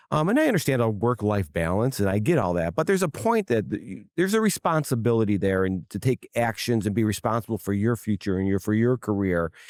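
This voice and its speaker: Speaking at a very fast pace with lively intonation, a man with an American accent and a medium pitch comes through a very clean recording with a silent background and a dry, close sound with no echo. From Wisconsin, US Midwest. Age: 60s. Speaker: plumbing company president. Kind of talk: interview. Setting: trade show. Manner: halting, many repetitions.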